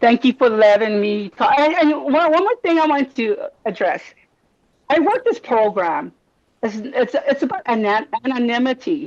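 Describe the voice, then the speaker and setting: A high-pitched woman at a moderate pace, with very wide pitch swings. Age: 60s. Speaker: public testifier. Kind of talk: public testimony. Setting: video call. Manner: animated.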